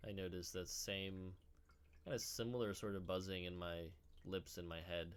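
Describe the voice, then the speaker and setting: The man's pitch is very deep and low. Room echo is audible, and he leaves long, frequent pauses. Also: fairly even intonation, moderate pace. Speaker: meditation teacher. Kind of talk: guided meditation; tutorial. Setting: indoors. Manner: halting.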